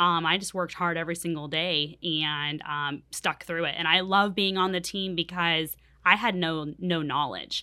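A woman speaks with an American accent in an ordinary speaking voice, fairly low in pitch. Her pace is moderate, with hardly any pauses. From California. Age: 30s. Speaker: real estate agent. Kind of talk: interview.

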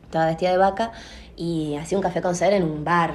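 A woman's fairly low voice at a very fast pace, with audible room echo. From Salta, Argentina. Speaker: theatre actress and director, drama school owner. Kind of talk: interview.

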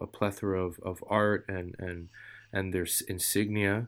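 A man talks with a New York accent. The recording is very clean, with a silent background. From New York, Queens. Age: 40s. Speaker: street artist. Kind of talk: casual chat.

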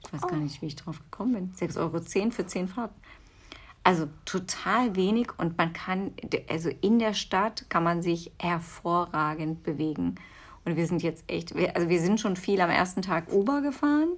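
Recorded very cleanly over a silent background, a woman talks at a moderate pace in a plain, everyday voice. Her pitch is fairly low and varies in an ordinary way. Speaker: podcast co-host, mother. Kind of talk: casual chat.

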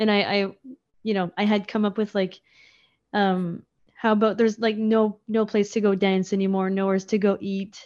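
A woman's medium-pitched voice in an Acadian accent, monotone and flat in intonation, at a moderate pace over a quiet background. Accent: Acadian Canadian English. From Acadian New Brunswick, near Moncton. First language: French (Acadian). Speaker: folk musician. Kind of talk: casual interview chat.

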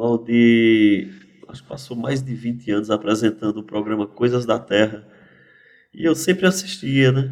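A man speaks at a fairly slow pace in a plain, everyday voice, his pitch medium for a man with ordinary variation and his loudness swinging widely. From Pernambuco agreste/sertão, Brazil (teen years in São Paulo). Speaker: poet and cordel writer. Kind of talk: casual interview.

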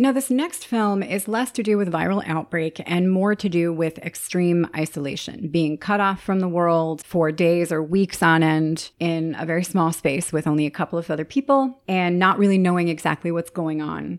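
A woman speaks at a moderate pace with hardly any pauses, her pitch fairly low. She has an ordinary speaking voice with ordinary pitch variation. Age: 30s. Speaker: podcast host. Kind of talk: solo podcast monologue. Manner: upbeat, frequent laughter.

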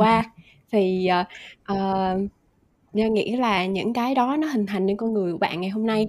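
On a very clean recording with a silent background, a woman speaks at a moderate pace. She has a plain, everyday voice of medium pitch with ordinary pitch variation. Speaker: guest. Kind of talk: casual chat.

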